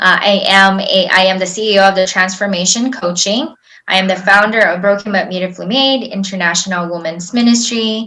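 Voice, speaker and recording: Over audible room echo, a woman at medium pitch talks at a fairly quick pace with hardly any pauses, fairly even intonation and a bright, sharp tone. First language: not English. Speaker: life coach. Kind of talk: webinar presentation. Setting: online webinar with slides. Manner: conversational, with fillers.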